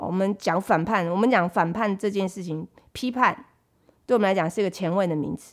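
A woman's ordinary speaking voice at medium pitch, fairly quick, with ordinary pitch variation, on a very clean recording against a silent background. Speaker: podcast host. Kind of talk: casual chat.

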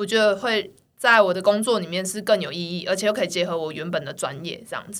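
Her medium-pitched voice carries ordinary pitch variation as the woman talks at a fairly quick pace. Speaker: children's gymnastics coach. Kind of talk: casual chat. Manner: animated.

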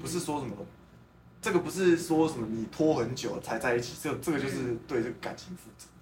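With lively intonation and big swings in loudness, a man speaks at a fairly quick pace in a fairly high pitch. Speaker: podcast host. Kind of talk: casual chat. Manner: animated.

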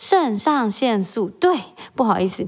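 A woman talks at a moderate pace in a Taiwanese accent. Her tone is animated, and her pitch swings very widely. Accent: Taiwanese Mandarin. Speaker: podcast host, mother. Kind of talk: solo casual monologue.

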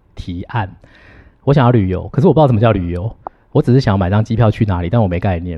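A man's fairly low, somewhat breathy voice at a very fast pace, with a Taiwanese accent. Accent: Taiwanese Mandarin. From Taiwan, Hsinchu County. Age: 40s. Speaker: university teacher. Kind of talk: interview conversation.

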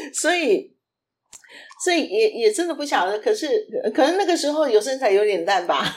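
At a high pitch, a woman talks fairly quickly with very wide pitch swings. She leaves long, frequent pauses. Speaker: podcast co-host. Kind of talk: casual chat.

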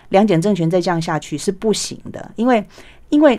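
In a very clean recording with a silent background, a woman talks at a fairly quick pace with lively intonation. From Taiwan. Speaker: author and former journalist. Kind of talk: interview. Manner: hesitant fillers.

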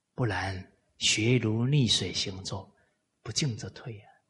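The man's voice is somewhat breathy. Echo from the room can be heard. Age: 40s. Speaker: lecturer on Confucian classics. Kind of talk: lecture. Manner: frequent filler particles.

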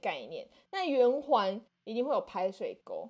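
In a very clean recording over a silent background, a woman talks at a fairly slow pace. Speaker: podcast host. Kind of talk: casual chat.

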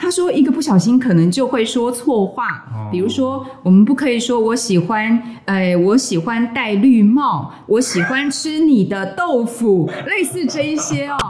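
A woman's fairly high voice with a Taiwanese accent, very wide pitch swings, a fairly slow pace, hardly any pauses, and noticeable background noise. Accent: Taiwanese Mandarin. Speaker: podcast host and Chinese teacher. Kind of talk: casual interview. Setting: studio.

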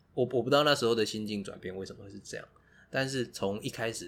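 In a very clean recording with a silent background, a man speaks with a Taiwanese accent. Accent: Taiwanese Mandarin. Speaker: podcast co-host. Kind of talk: casual chat.

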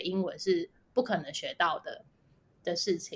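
A woman's voice at medium pitch. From Taiwan. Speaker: biotech company founder. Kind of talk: interview. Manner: halting, many fillers and repetitions.

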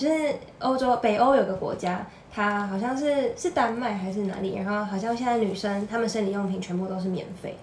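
Over noticeable background noise and audible room echo, a woman talks at a fairly quick pace with a fairly high pitch and ordinary pitch variation. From Taiwan. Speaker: office worker. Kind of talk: casual chat.

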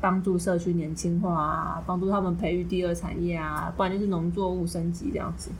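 A woman at a fairly quick pace with fairly even intonation, in audible room echo. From Kaohsiung, Taiwan. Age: 20s. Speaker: couple podcast co-host. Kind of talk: casual chat.

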